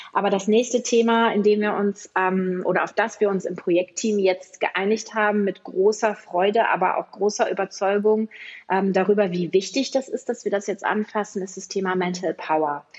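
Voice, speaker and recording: A woman's normal speaking voice at a medium pitch, with hardly any pauses. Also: fairly even intonation, moderate pace. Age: 40s. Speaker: health project organizer. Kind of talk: interview.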